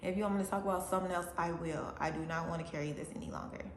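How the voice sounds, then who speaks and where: A woman speaks at a fairly low pitch. Noticeable background noise and audible room echo fill the recording. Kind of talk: testimony. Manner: halting, stumbles on words.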